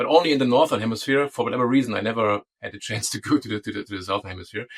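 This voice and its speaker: Speaking at a very fast pace with a German accent, a man keeps a medium pitch and ordinary pitch variation in a dry, close sound with no echo. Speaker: DNS security consultant. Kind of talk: interview. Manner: halting.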